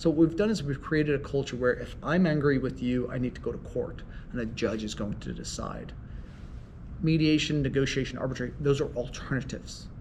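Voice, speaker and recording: There is audible room echo as a man talks at a fairly quick pace. His pitch is fairly high, with ordinary pitch variation. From Ireland. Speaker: mediator and law professor. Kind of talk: interview.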